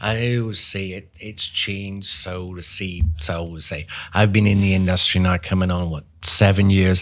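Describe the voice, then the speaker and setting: On a very clean recording with a silent background, a man with a Northern Irish accent speaks at a moderate pace in a very deep, low, flat monotone, his loudness swinging widely. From Northern Ireland, Belfast. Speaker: HVAC business owner. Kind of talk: interview.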